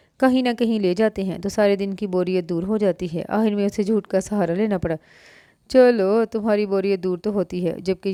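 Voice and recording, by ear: The intonation holds fairly even. The speaker is reading aloud in a natural voice.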